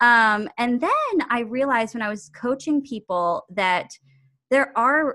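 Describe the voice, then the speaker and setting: On a very clean recording with a silent background, a woman speaks with lively intonation and a bright, sharp tone. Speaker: intuitive coach and actor. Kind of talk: casual interview chat.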